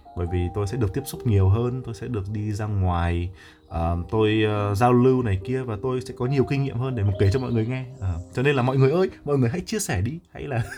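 Somewhat breathy and at medium pitch, a man talks at a fairly quick pace with lively intonation. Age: young. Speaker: livestreamer. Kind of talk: casual livestream chat with viewers. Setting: live stream on Facebook. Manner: halting, many fillers.

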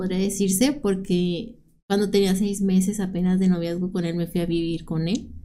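A woman's dark, mellow tone carries an audible room echo. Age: 30s. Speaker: domestic violence survivor sharing her story. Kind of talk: personal testimony in interview.

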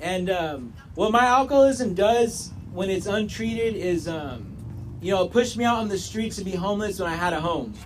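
Lively intonation marks a man's high voice as he talks at a moderate pace over noticeable background noise. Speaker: addiction counseling student, AA member. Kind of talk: testimony. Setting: meeting room with audience. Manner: halting, many fillers.

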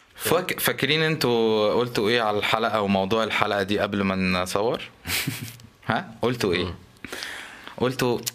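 A man with an Egyptian accent, fairly low-pitched, at a fairly slow pace with long, frequent pauses, ordinary pitch variation, very even loudness, and noticeable background noise. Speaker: podcast co-host. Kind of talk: casual chat.

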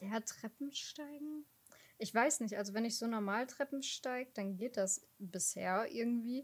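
A woman with an unremarkable speaking voice talks at a fairly slow pace, her fairly high pitch showing ordinary variation. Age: 20s. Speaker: podcast co-host. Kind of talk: casual chat.

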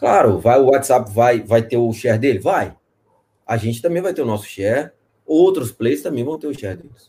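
At a moderate pace, a man with a medium-pitched, dark, mellow, somewhat breathy voice speaks with lively intonation and big swings in loudness. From Espírito Santo, Brazil. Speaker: fintech executive. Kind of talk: live interview.

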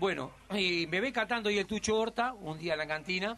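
A man's bright, sharp tone with lively intonation at a fairly quick pace. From Uruguay, Montevideo. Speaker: comedian. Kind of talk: interview.

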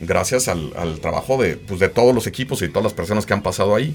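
This man has an unremarkable speaking voice, pitched fairly low with ordinary pitch variation. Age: 40s. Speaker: graphic designer and agency founder. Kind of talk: casual interview. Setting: studio.

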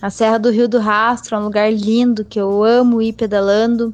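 Fairly high in pitch, a woman speaks at a fairly slow pace in a plain, everyday voice. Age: 20s. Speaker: professional cyclist. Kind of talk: interview.

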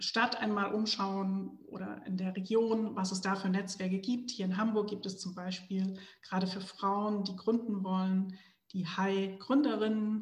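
Very slowly, a woman talks at a medium pitch in a somewhat breathy voice with fairly even intonation, and audible room echo surrounds her. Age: 40s. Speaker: entrepreneur. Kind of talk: interview.

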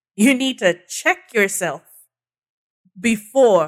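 At a fairly slow pace, a woman with a Nigerian accent speaks at a fairly high pitch with very wide pitch swings. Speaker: communications strategist. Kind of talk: casual interview chat. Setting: studio.

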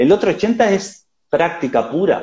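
This voice belongs to a man. He lets his pitch range very widely. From Uruguay. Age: 30s. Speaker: digital business consultant and writer. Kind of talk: casual interview on a live stream. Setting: Instagram live. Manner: halting, many repetitions.

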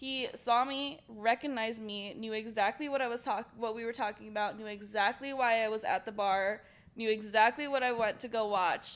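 In a very clean recording with a silent background, a woman with a normal speaking voice talks at a fairly high pitch and a moderate pace, her intonation fairly even. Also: hardly any pauses. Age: 20s. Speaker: podcast guest. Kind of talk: casual chat.

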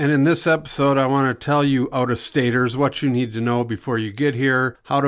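In a plain, everyday voice, a man talks at a medium pitch and moderate pace. His intonation is fairly even. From Minnesota, US Upper Midwest. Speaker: real estate broker and podcast host. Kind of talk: casual podcast monologue.

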